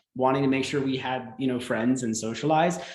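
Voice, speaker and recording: A man with an American accent, medium in pitch, with audible room echo. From US South, South Carolina. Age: 20s. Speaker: grown worldschooler. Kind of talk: live stream interview.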